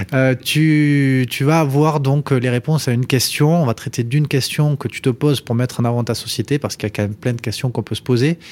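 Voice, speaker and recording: Hardly pausing, a man with a normal speaking voice talks at medium pitch and a fairly quick pace, his intonation fairly even. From Toulouse area, southwest France. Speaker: podcast host, startup co-founder. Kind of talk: interview.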